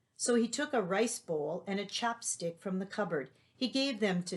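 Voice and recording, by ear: Someone reads aloud here in a natural voice.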